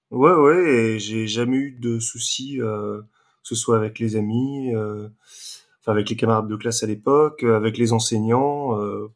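A man with a normal speaking voice talks at a fairly slow pace. His pitch is medium, his intonation fairly even. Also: very clean recording, silent background. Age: 30s. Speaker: adult son of the couple. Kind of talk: interview testimony.

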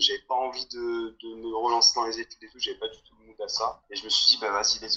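A man at a fairly quick pace. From southern France. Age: 20s. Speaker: long-term traveller and mine worker. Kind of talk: casual chat. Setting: remote call.

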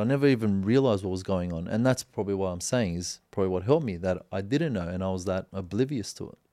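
A man with an Australian accent, fairly low-pitched and dark, mellow in tone, at a very fast pace with hardly any pauses, lively intonation and big swings in loudness. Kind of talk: casual chat.

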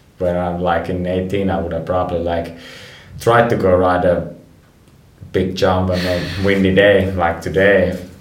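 With a Finnish accent, a man with a very deep, low pitch speaks at a fairly slow pace in a monotone, flat intonation, with audible room echo. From Finland, Rovaniemi. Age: 30s. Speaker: professional snowboarder. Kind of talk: interview.

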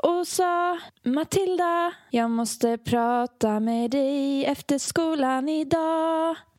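A woman puts on a sing-song character voice at a high pitch. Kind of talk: storytelling. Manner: extremely monotone, almost sing-song.

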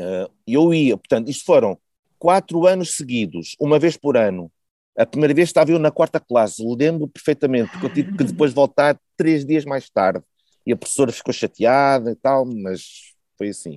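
Fairly high-pitched for a man, this plain, everyday voice moves at a moderate pace with lively intonation. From Porto, northern Portugal. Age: 40s. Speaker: podcast guest, volunteer contributor. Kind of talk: casual interview conversation.

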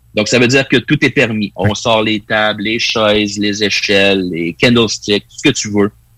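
With a Quebec accent, a man speaks at fairly low pitch and a moderate pace, his tone bright and sharp, his intonation fairly even and his loudness swinging widely, in a dry, close sound with no echo. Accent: Québécois French. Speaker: wrestling pundit. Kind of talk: casual chat.

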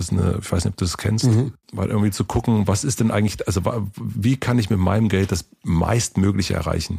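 A man uses a normal speaking voice in a fairly low pitch with ordinary pitch variation. He talks at a fairly quick pace. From East Berlin, former GDR. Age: 40s. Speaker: podcast host. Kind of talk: casual chat.

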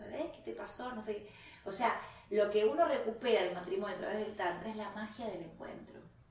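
A woman talks in an animated tone at medium pitch and a moderate pace, with ordinary pitch variation and big swings in loudness. Noticeable background noise and audible room echo fill the recording. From Argentina. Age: 50s. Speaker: tantra teacher and healer. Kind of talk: casual interview.

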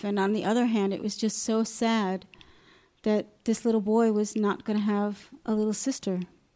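A woman with an American accent and an unremarkable speaking voice, medium pitch, moderate pace. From US Northeast (Long Island, New York). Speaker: adoptive mother. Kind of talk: interview testimony.

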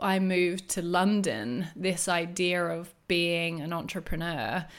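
Very slowly, a woman with an Australian accent speaks at a medium pitch. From Australia, rural New South Wales. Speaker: wellness entrepreneur and business coach. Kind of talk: interview conversation.

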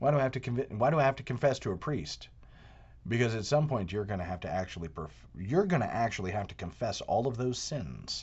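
Talking at a very fast pace, a man with medium pitch uses lively intonation and vocal fry. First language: not English. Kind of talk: monologue commentary. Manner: animated.

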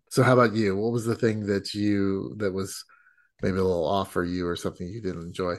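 A man's normal speaking voice, fairly low in pitch with fairly even intonation. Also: fairly quick pace, quiet background. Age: 50s. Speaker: podcast host. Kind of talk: casual chat.

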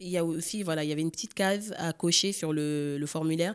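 A woman with a very deep, low pitch delivers her words fairly quickly. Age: 30s. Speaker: egg donor. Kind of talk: testimony. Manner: hesitant, many fillers.

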